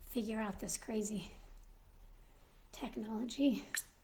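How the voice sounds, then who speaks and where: Her voice fairly high, somewhat breathy and dark and mellow in tone, a woman speaks at a fairly slow pace. Audible room echo fills the recording. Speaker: Mrs. Claus character livestreamer. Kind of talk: casual live stream chat. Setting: live stream.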